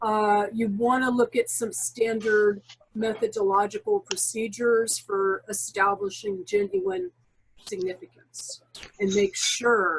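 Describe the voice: A woman talks slowly, her pitch fairly high and her intonation lively. Her voice has a slightly husky edge and some vocal fry.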